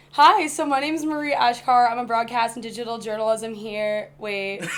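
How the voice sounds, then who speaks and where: With an American accent, a woman talks at a fairly high pitch, her loudness swinging widely over noticeable background noise. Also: ordinary pitch variation, moderate pace. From US Midwest, Indiana. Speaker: college student, journalism major. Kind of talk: casual chat.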